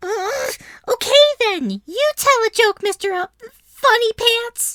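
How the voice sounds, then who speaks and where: A put-on character voice at an extremely high pitch, delivered at a fairly slow pace. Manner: frustrated, higher-pitched.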